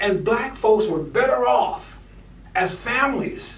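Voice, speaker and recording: A man speaks with lively intonation, his voice carrying audible room echo amid noticeable background noise. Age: 70s. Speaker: political commentator. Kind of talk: rant. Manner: animated; halting.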